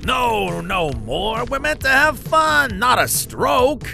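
A cartoonish character voice, fairly high in pitch, speaks at a very slow pace over clear background noise. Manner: casual, wisecracking.

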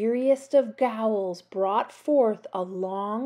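Unforced reading voice, pitch moving up and down in an ordinary way

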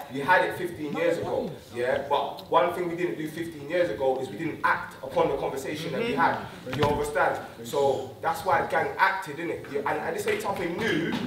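Through noticeable background noise, the speaker moves at a fairly quick pace with ordinary pitch variation. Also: man, high pitch for a man. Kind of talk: public address to community audience. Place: stage.

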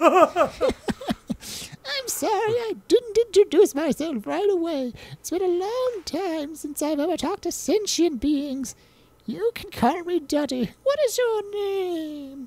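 A woman puts on a squeaky character voice at an extremely high pitch. She goes at a fairly slow pace with hardly any pauses. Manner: polite, apologetic.

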